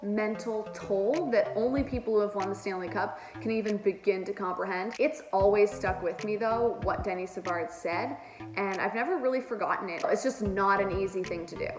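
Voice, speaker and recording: Over music in the background, a woman speaks in an animated tone with lively intonation and hardly any pauses. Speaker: hockey commentator. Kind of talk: casual commentary vlog.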